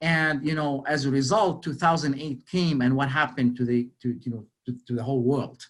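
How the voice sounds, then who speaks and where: Speaking with a Lebanese accent, a man talks at a fairly quick pace with hardly any pauses, a fairly high pitch and ordinary pitch variation. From Lebanon. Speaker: motivational speaker. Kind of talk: motivational talk. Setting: webinar. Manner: animated, repetitive.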